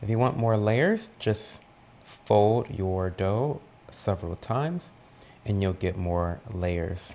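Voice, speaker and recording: A soft-spoken man talks at a very slow pace with long, frequent pauses. His fairly low voice has a dark, mellow tone and ordinary pitch variation. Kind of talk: ASMR baking tutorial.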